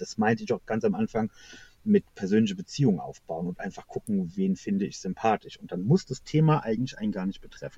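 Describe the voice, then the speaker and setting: Very fast speech comes through with a dry, close sound and no echo. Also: man. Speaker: knitting YouTuber. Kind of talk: casual interview. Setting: in car on a hill, later phone. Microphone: quiet and poor connection, later phone.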